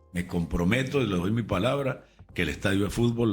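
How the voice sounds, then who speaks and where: Backed by music, a man talks at a moderate pace with lively intonation. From Venezuela. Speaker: radio and TV announcer. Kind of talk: interview answer.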